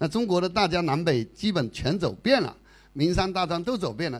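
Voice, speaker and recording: On a very clean recording with a silent background, a man with a high pitch talks at a moderate pace. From Fujian, China. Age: 50s. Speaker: retiree traveler. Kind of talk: travel talk to audience. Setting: stage with audience.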